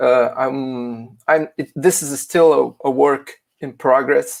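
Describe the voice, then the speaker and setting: With a Portuguese accent, a man speaks very slowly in a fairly high pitch with fairly even intonation. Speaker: philosophy teacher presenting a paper. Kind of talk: academic conference presentation. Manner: halting, many fillers.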